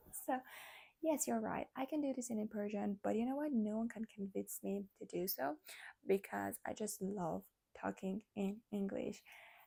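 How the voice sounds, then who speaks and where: A woman with a non-native accent, medium pitch, a dark, mellow tone, lively intonation and a moderate pace, in dry, close sound without echo. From Armenian community in Iran. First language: Armenian. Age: 20s. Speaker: vlogger. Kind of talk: casual chat. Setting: nighttime talk at home.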